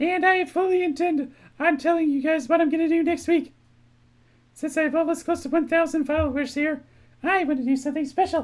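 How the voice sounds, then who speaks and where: A squeaky, high-pitched, put-on character voice rattles along at a fairly quick pace. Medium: game stream. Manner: bright, chatty streamer cheer.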